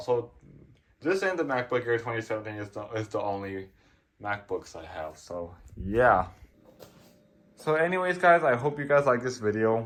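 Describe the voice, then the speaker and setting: Speaking at a moderate pace in a medium-pitched voice, a man shows very wide pitch swings, big swings in loudness and long, frequent pauses. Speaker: tech YouTuber. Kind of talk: casual video outro. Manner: halting, repetitive.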